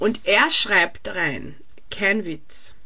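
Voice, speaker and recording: A woman speaks with lively intonation. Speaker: podcast co-host. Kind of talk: casual chat. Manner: laughs often.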